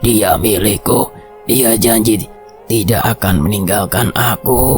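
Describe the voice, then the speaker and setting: A man's raspy, put-on character voice at medium pitch and a fairly slow pace, with clear music in the background. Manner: possessive, menacing.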